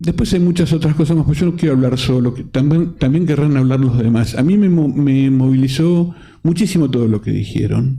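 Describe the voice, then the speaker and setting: A man speaks at a fairly quick pace with hardly any pauses, his voice somewhat breathy. His pitch sits fairly high for a man and moves with ordinary variation. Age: 60s. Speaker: film council president and panel moderator. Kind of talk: panel discussion. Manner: halting, frequent self-corrections.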